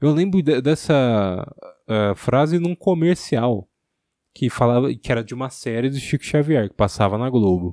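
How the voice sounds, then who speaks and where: A man's dark, mellow tone with very wide pitch swings at a moderate pace, dry and close with no echo against a quiet background. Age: 20s. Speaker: podcaster. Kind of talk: solo monologue.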